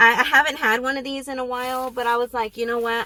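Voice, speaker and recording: A woman speaks with a bright, sharp tone. The recording is very clean, with a silent background. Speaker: vlogger. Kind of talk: casual vlog talk. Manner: hesitant, many fillers.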